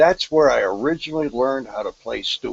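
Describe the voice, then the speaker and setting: A man's fairly high voice with lively intonation and a moderate pace, over noticeable background noise. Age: 60s. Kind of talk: casual chat.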